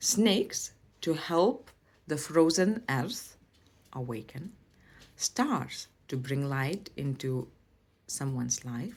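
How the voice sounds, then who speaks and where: Speaking very slowly with long, frequent pauses, a woman with a Lithuanian accent uses a very deep, low pitch and very wide pitch swings. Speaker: language and culture teacher. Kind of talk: educational presentation.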